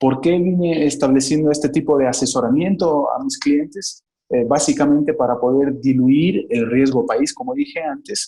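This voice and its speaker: A man with a Bolivian accent speaks at a moderate pace with hardly any pauses, his fairly high-pitched voice dark and mellow in tone. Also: ordinary pitch variation. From Bolivia, Cochabamba. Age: 30s. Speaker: economist, investment advisor. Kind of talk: interview.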